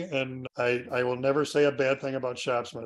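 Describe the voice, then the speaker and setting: The man has an unremarkable speaking voice at a medium pitch. He talks at a fairly quick pace. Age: 60s. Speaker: woodworking author and instructor. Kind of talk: interview.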